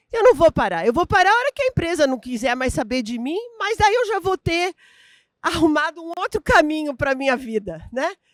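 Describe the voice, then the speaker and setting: A woman speaks at an extremely high pitch, her voice swinging very widely up and down. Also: moderate pace, dry, close sound with no echo. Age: 60s. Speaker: business executive and speaker. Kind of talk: keynote talk.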